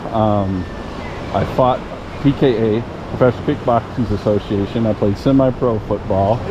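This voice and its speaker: A man speaks at a medium pitch. Noticeable background noise is audible behind him. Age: 60s. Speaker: metal detecting youtuber. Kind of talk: casual chat. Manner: halting.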